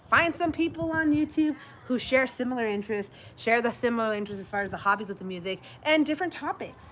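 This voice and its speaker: Over noticeable background noise, a woman talks very fast in a raised, projected voice, animated in tone and with very wide pitch swings. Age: 30s. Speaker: livestream host. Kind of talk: casual chat.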